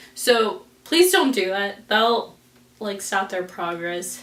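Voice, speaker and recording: An American-accented woman speaks at a very slow pace with ordinary pitch variation, amid noticeable background noise and audible room echo. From US West (Las Vegas). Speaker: beauty vlogger. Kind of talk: personal vlog. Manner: casual, many fillers like "like".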